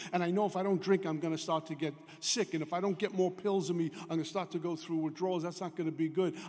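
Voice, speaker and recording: Through noticeable background noise, a high-pitched man rattles along at a very fast pace in a monotone, flat delivery. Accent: New York. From New York, Brooklyn. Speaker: AA speaker. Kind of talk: recovery talk.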